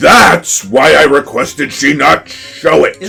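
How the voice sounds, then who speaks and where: Putting on a character voice at a fairly high pitch, a man talks at a fairly slow pace over faint background music. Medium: game stream. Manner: haughty, condescending.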